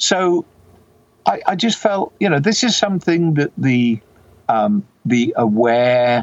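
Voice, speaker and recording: Male voice with a British accent, fairly high pitch, very wide pitch swings and a fairly slow pace, dry and close with no echo. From UK. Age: 60s. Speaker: software developer and retired doctor. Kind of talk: interview. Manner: hesitant, many fillers.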